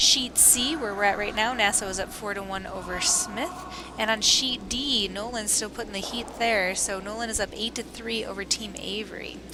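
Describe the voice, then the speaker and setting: In an American accent, a woman with a fairly high pitch speaks at a moderate pace with ordinary pitch variation, amid audible room echo and noticeable background noise. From Wisconsin, US Midwest. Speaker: curling commentator. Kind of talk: live sports commentary.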